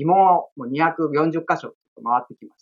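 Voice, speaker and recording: A man talks in a high voice, and his pitch varies in an ordinary way. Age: 40s. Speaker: estate-law administrative scrivener and former comedian. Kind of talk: interview. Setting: video call.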